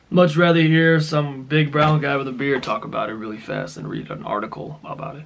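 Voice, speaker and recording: A man talks at a fairly quick pace with hardly any pauses and big swings in loudness. Noticeable background noise runs underneath. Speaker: finance youtuber. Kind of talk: casual explainer video. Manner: fast; casual, filler-heavy.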